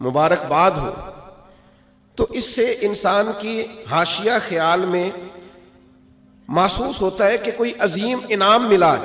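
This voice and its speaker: Noticeable background noise accompanies this recording. The man's intonation is lively. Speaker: Islamic preacher. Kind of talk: religious sermon (bayan). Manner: emotional, fervent, passionate preaching.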